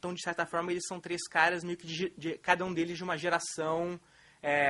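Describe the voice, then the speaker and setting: A man speaks in a bright, sharp tone. His pitch is high for a man. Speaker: film critic lecturer. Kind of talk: lecture. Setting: auditorium with audience. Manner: fast; hesitant, many fillers.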